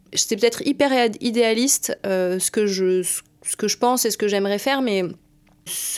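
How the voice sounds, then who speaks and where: The recording is very clean, with a silent background. A woman speaks at a very slow pace with ordinary pitch variation. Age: 20s. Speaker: strategic planner in advertising. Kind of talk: interview. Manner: hesitant, many fillers.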